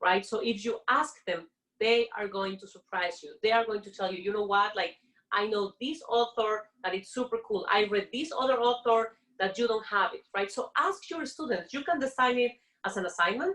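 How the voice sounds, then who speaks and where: Her intonation has plenty of life. The woman keeps a moderate pace. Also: fairly high pitch for a woman. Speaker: professor. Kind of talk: conference presentation.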